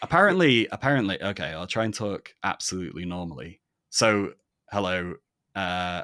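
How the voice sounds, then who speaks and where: The tone is bright and sharp, the pace moderate and the pitch variation ordinary, in a dry, close recording with no echo and a very clean, silent background. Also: man, very deep, low pitch for a man. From northern England, Manchester. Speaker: palaeontologist podcast host. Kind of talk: interview conversation. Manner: measured presenter style; conversational.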